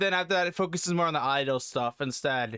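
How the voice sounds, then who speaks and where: A man talks with lively intonation and a bright, sharp tone. The sound is dry and close with no echo, on a very clean recording over a silent background. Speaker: YouTube anime reactor. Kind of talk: reaction commentary. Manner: fast.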